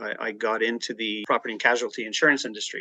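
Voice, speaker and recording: Against a quiet background, a man at medium pitch talks at a fairly quick pace with a bright, sharp tone and a dry, close sound with no echo. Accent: Canadian. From Canada, Toronto area (Ajax Pickering). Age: 60s. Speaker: real estate agent and insurance professional. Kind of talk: podcast interview.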